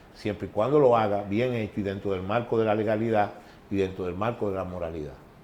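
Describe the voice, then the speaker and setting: A man speaks with a Dominican accent. He talks at a fairly quick pace with fairly even intonation. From Dominican Republic, San Cristóbal. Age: 60s. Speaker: former baseball executive. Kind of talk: interview. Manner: halting.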